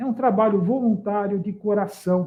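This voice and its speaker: High pitch from a man, at a fairly slow pace and with ordinary pitch variation. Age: 60s. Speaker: live stream host, local politician. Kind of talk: live stream introduction. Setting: online live stream. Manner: hesitant, with repetitions.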